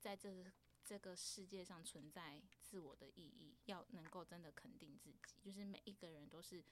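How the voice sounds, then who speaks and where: In a normal speaking voice, a woman talks fairly slowly at a medium pitch. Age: 30s. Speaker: podcast host. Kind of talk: casual chat.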